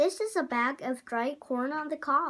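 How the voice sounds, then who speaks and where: A very clean recording, silent background, and a woman in a high-pitched put-on character voice at a moderate pace. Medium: read story. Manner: exclamatory.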